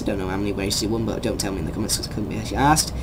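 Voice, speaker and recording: Someone speaks with an English accent over noticeable background noise. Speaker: YouTuber discussing sports news. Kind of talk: opinion rant vlog. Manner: fast; animated.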